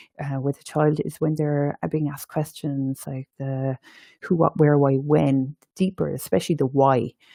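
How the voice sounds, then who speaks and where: A woman with an Irish accent and a very deep, low pitch speaks at a moderate pace in a dark, mellow tone, the sound dry and close with no echo. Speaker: education and training manager. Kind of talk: webinar presentation.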